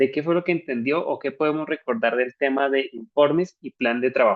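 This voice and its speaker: A man's fairly high-pitched voice, a normal speaking voice, ordinary in pitch variation. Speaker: church trainer. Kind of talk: online training session. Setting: video call.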